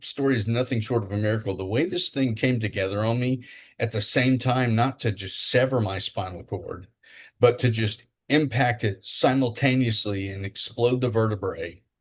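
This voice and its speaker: At a moderate pace, a man with a medium pitch and a somewhat breathy voice talks with ordinary pitch variation against a quiet background. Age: 60s. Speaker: podcast co-host, spinal injury survivor and wheelchair athlete. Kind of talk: casual interview chat. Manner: halting, many fillers.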